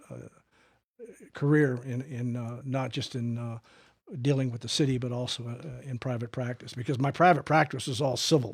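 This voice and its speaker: A man's somewhat breathy, medium-pitched voice at a moderate pace with fairly even intonation. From New Mexico, Albuquerque. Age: 70s. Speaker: attorney and political blogger. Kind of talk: interview. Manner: halting, many fillers.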